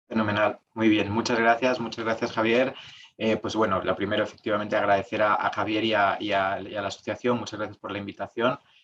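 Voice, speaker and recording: A man with a Spanish accent talks very fast in a fairly low pitch, his intonation monotone and flat. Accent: Spanish (Spain) accent, still kept. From Spain. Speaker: tax lawyer. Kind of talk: webinar talk. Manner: hesitant, many fillers.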